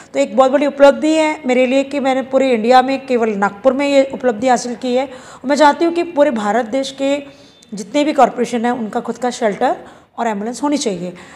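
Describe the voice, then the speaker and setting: A woman with a high pitch talks at a moderate pace with ordinary pitch variation, noticeable background noise behind her. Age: 50s. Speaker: animal welfare activist. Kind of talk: news interview.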